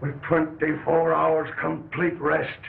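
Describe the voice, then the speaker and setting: A man puts on a raspy character voice at fairly high pitch, flat and monotone. He speaks at a fairly slow pace over light background noise. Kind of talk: 1940s radio acting. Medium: old radio play.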